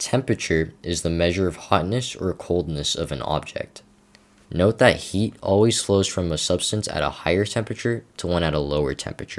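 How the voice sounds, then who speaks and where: A man with an American accent speaks in a very deep, low voice. His pace is fairly quick and his pitch varies in an ordinary way. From United States. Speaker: chemistry teacher (online tutorial). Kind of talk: lecture. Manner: steady, explanatory.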